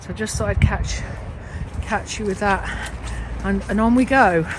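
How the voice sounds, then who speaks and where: Light background noise behind a woman, her sound dry with no echo. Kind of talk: casual vlog chat. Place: forest. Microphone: phone near.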